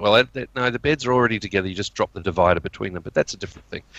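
A medium-pitched man at a very fast pace, his sound dry and close with no echo. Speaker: guest podcast co-host. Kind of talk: casual chat.

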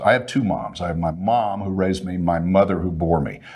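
In a Texan accent, a man with a very deep, low pitch talks at a moderate pace. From Texas, Fort Worth. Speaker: broadcaster. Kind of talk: casual chat. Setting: studio.

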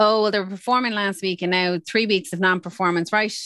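The speaker has an Irish accent and ordinary pitch variation. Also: woman. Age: 40s. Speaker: HR executive. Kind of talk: interview.

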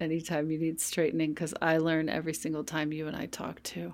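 A woman speaks at a very deep, low pitch with monotone, flat intonation. The recording is very clean, with a silent background. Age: 50s. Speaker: yoga and meditation teacher. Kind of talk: casual chat.

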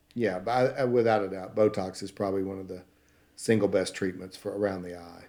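Fairly quick speech comes in an American accent with a dark, mellow tone. The intonation stays fairly even while the loudness swings widely. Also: man, fairly low pitch for a man. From Texas (Paris, northeast Texas). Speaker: plastic surgeon. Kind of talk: interview.

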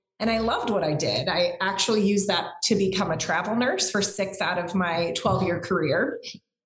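A woman's medium-pitched voice at a fairly quick pace, hardly any pauses, very even loudness, ordinary pitch variation, and audible room echo. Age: 40s. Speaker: former nurse turned entrepreneur. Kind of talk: interview. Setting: call.

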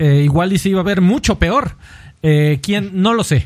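A man's high-pitched voice at a fairly slow pace with lively intonation. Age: 30s. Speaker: video game podcast host. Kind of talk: casual chat.

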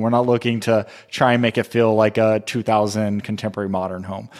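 A man's unremarkable speaking voice at a medium pitch, in an American accent, with fairly even intonation, a fairly quick pace and a very clean recording with a silent background. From Southern California. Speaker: candle company co-founder. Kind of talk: casual interview chat.

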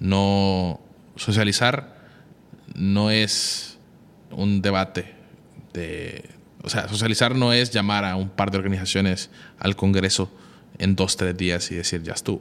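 At a very slow pace, a man with a fairly low pitch speaks with fairly even intonation and long, frequent pauses. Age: 20s. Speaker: constitutional lawyer. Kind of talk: interview.

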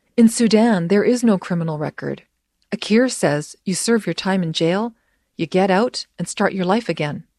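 In a Canadian accent, a woman speaks with a normal speaking voice at a medium pitch and a moderate pace, with ordinary pitch variation. The recording is very clean with a silent background and has a dry, close sound with no echo. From immigrant to Canada, raised in Canada. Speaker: radio producer and reporter. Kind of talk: documentary narration.

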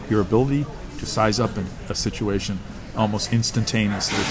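A man with an American accent talks at a fairly quick pace. Noticeable background noise and audible room echo are present. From United States. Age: 60s. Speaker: military historian. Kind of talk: casual interview.

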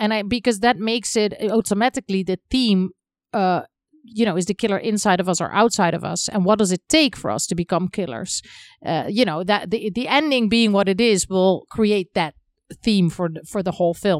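Fairly quick speech in a Dutch accent with ordinary pitch variation, in a dry, close sound with no echo and a very clean recording with a silent background. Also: woman, medium pitch for a woman. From Netherlands. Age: 40s. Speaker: film director. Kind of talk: interview. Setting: in person.

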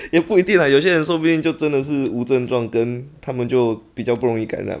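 An ordinary speaking voice from a man, at a fairly quick pace with lively intonation. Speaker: fellow podcaster. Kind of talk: casual chat.

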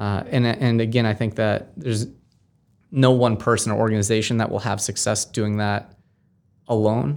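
On a very clean recording with a silent background, a man with an American accent and a medium pitch speaks at a moderate pace with fairly even intonation and long, frequent pauses. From Massachusetts, Amherst. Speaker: nonprofit founder. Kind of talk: interview. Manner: halting.

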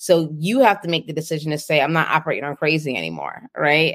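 A woman speaks very fast with vocal fry. Her pitch is very deep and low. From Boston, US. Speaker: nurse entrepreneur and speaker. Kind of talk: interview.

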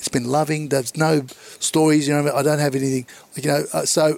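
Here a man speaks with an Australian accent and a fairly high pitch. His intonation is monotone and flat. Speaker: comedian. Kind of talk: casual chat.

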